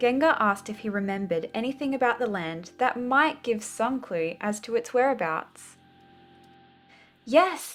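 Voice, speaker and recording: With an Australian accent, a woman speaks at a fairly high pitch and a moderate pace. Her intonation is lively, and music plays in the background. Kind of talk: children's story reading.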